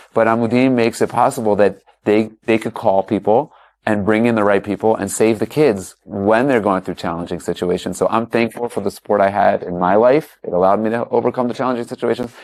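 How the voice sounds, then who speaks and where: Very fast and fairly even in intonation, a man with an American accent speaks at a fairly low pitch on a very clean recording with a silent background. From US, Baltimore, Maryland. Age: 40s. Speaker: former basketball player. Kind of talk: panel interview.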